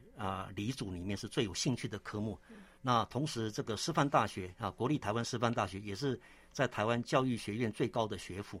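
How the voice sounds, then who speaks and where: This is an unremarkable speaking voice at a moderate pace with ordinary pitch variation. The recording is very clean, with a silent background. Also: man. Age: 60s. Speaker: theological seminary president and church elder. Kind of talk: interview testimony; sermon-like scripture exposition. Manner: frequent filler 'ah' particles.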